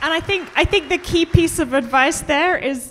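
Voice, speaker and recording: At a moderate pace, a woman with an English accent speaks with lively intonation. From England. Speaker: museum curator; interviewer. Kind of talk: presentation and interview. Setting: stage with audience. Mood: friendly, lightly humorous. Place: stage. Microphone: handheld.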